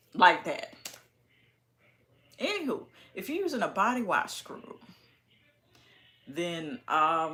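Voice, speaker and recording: A woman with a medium pitch and a bright, sharp tone talks very slowly, with long, frequent pauses, very wide pitch swings and big swings in loudness. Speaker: beauty and hygiene YouTuber. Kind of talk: casual vlog tutorial. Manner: animated.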